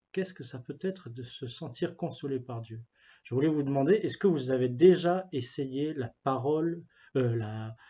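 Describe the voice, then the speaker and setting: This man's voice is fairly high and somewhat breathy. He talks at a moderate pace with ordinary pitch variation. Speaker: youth ministry pastoral worker. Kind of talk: spiritual reflection talk. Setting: office. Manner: halting, many fillers and repetitions.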